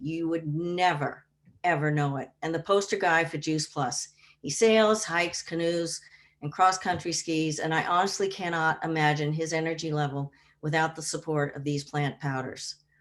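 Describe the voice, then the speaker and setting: A woman speaks at a moderate pace with a very deep, low pitch and ordinary pitch variation. The recording is very clean, with a silent background. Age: 70s. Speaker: wellness product distributor. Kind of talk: testimony.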